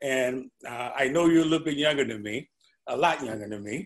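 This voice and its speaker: A man with an unremarkable speaking voice talks at a fairly quick pace, medium in pitch with ordinary variation. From St. Louis, US Midwest. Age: 60s. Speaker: retired pension fund manager. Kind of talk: casual interview.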